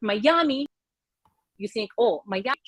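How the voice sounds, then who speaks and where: A woman with a Russian accent and a fairly high pitch. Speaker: realtor. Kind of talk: live video show chat.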